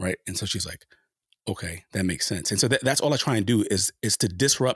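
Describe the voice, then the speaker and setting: A man with an American accent speaks at a very fast pace in a somewhat breathy voice. The recording is very clean and dry, close with no echo and a silent background. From US Northeast, Harlem, New York City. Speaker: sociology professor. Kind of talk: interview.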